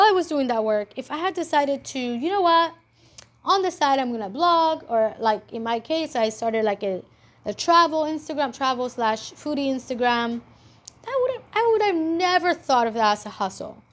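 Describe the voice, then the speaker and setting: Animated in tone and with a non-native accent, the speaker keeps a moderate pace while pitch swings very widely. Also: woman. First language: not English. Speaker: entrepreneur and vlogger. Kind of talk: casual monologue vlog. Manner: animated, with many fillers and restarts.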